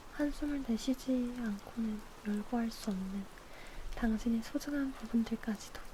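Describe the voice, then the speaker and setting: Fairly even intonation from a woman with a fairly high pitch, a fairly slow pace, and noticeable background noise. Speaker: ASMR streamer. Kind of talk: ASMR book reading with rain sound. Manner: soft, intimate, slow.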